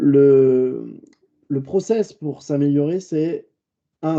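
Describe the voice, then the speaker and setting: A dark, mellow tone with ordinary pitch variation, at a very slow pace. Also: man. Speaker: communication trainer. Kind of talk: webinar lecture.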